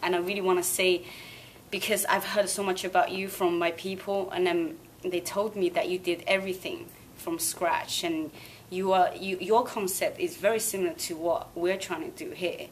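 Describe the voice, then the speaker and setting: Over noticeable background noise, a woman with a Chinese accent speaks at medium pitch and a moderate pace, with ordinary pitch variation. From Sichuan, southwest China; teens in England. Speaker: singer. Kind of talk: interview.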